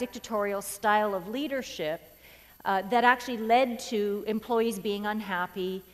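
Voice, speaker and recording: A woman with ordinary pitch variation in a very clean recording with a silent background. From rural Canada. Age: 40s. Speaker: keynote speaker. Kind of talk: keynote speech. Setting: stage with audience. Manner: fast; animated.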